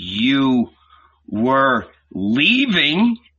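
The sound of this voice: A man's put-on character voice, medium in pitch with very wide pitch swings, a bright, sharp tone and a slightly husky edge. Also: very slow pace.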